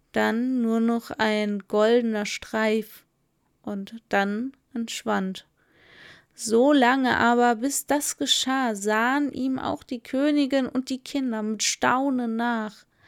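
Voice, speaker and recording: Intonation stays fairly even at a very slow pace. The sound is dry and close, with no echo. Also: woman, fairly high pitch for a woman. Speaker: podcast host and storyteller. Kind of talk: fairy tale narration read aloud in a calm, soothing style. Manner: slow, soft, lulling and dreamy, storybook cadence.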